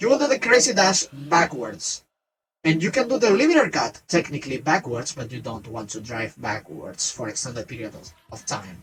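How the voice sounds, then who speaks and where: With a non-native accent, a man speaks at a moderate pace and fairly high pitch, his voice making very wide pitch swings and big swings in loudness. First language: not English. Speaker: vtuber streamer. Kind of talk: gameplay tutorial. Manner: halting, self-correcting.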